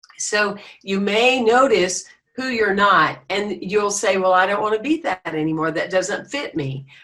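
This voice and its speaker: Bright and sharp in tone, a woman with an American accent speaks at medium pitch. Her pace is fairly slow and her intonation lively. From US South. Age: 60s. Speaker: spiritual leader. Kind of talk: interview. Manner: animated.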